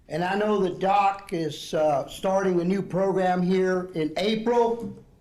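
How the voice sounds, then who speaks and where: Noticeable background noise and audible room echo surround a man speaking at a high pitch. He talks at a fairly slow pace with fairly even intonation. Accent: Southeast Texas. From Southeast Texas (Port Arthur), Mexican-American family. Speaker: retired ESL program director, keynote speaker. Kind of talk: keynote speech. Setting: conference dinner with audience.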